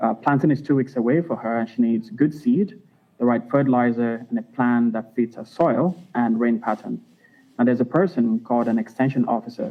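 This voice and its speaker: A man speaks at a medium pitch with ordinary pitch variation. His pace is fairly quick. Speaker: startup founder. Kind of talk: pitch presentation. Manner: soft-spoken. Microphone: remote line, too quiet.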